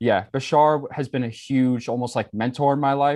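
Here a man speaks with an American accent in a normal speaking voice at a medium pitch. He talks at a fairly quick pace over a quiet background. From New York, Staten Island. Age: 20s. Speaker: spiritual teacher. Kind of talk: casual interview.

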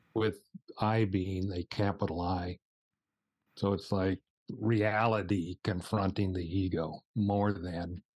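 With a very deep, low pitch and monotone, flat intonation, a man in an American accent speaks at a very slow pace with long, frequent pauses in a dry, close sound with no echo. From United States. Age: 70s. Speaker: spiritual teacher. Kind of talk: casual chat. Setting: video call.

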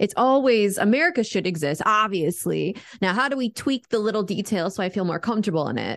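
A woman with an ordinary speaking voice talks at a medium pitch and a fairly quick pace, her lively intonation running with hardly any pauses over a quiet background. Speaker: podcast co-host. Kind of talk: casual banter and interview.

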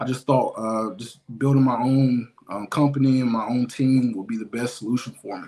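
An eastern North Carolina accent at a moderate pace, with big swings in loudness, fairly even intonation and hardly any pauses. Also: man, medium pitch for a man. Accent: US South, eastern North Carolina. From eastern North Carolina, Tarboro. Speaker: life insurance agent. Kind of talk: casual interview.

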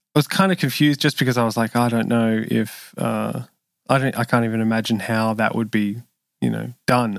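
Here a man with an Australian accent speaks at a medium pitch with fairly even intonation. The sound is dry and close with no echo, in a very clean recording against a silent background. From Sydney, Australia. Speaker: session bass player and producer. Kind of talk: interview conversation.

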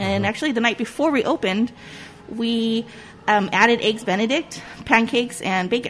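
Noticeable background noise runs under this voice. The speaker talks with a Southern California accent. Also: woman. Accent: Southern Californian English. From US West Coast (Whittier, Southern California). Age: 40s. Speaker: restaurant owner. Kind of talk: casual interview. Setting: on location in a restaurant.

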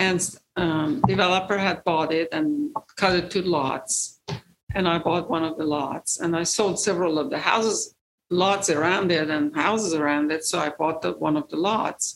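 With an Iranian accent, a woman speaks at a fairly low pitch. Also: ordinary pitch variation, moderate pace. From Iran, rural village. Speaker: real estate investor. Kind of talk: interview, personal story. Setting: studio. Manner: halting, many fillers.

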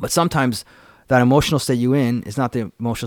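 With a Canadian accent, a man has a normal speaking voice at a medium pitch and ordinary pitch variation. He moves at a fairly quick pace in a very clean recording with a silent background. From Canada, Vancouver. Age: 40s. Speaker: yoga teacher. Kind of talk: casual interview chat. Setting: studio.

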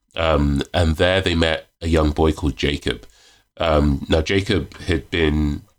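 A man with a very deep, low voice, its intonation fairly even. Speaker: magazine editor and author. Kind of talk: casual podcast interview. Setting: video call.

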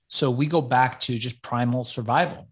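The background stays quiet. A man's medium-pitched voice keeps a fairly even intonation. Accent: American. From Los Angeles, US. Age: 40s. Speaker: author and entrepreneur. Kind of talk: interview conversation.

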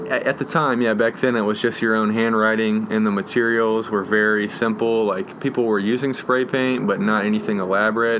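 Over noticeable background noise, a man at medium pitch speaks at a fairly quick pace with hardly any pauses, in a monotone, flat intonation and at very even loudness. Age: 20s. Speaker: graffiti artist and muralist. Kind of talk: casual interview. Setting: outdoors on a front porch.

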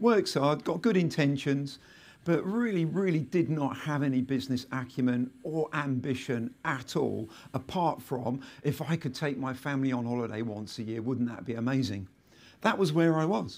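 A man talks with a southern English accent. His voice is fairly high, with lively intonation. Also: moderate pace, very clean recording, silent background. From southern England. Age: 50s. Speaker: entrepreneur. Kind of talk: live interview and talk. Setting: stage with audience.

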